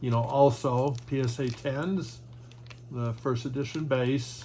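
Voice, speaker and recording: A man talks in a monotone, with flat intonation. His pitch is medium. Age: 60s. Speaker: trading card collector and YouTuber. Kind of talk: casual video monologue showing cards. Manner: halting, many fillers.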